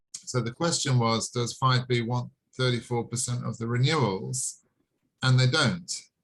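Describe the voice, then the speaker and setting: This man has a strong British accent. His intonation stays fairly even. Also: medium pitch for a man, moderate pace. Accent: heavy British. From England. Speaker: online sales presenter. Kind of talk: video call sales presentation. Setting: video call.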